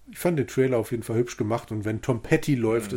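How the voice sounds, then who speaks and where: A somewhat breathy man's voice, medium in pitch, dark and mellow in tone, with ordinary pitch variation, on a very clean recording with a silent background. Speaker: podcast co-host, bookseller. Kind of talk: casual chat.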